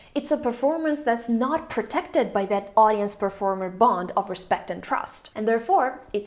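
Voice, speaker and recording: Against noticeable background noise, a woman with a non-native accent speaks at a moderate pace, her fairly high voice carrying lively intonation. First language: not English. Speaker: video essayist. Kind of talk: video essay narration.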